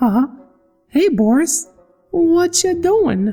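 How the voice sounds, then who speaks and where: A squeaky put-on character voice at an extremely high pitch, with faint music in the background. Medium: read story. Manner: teasing, menacing.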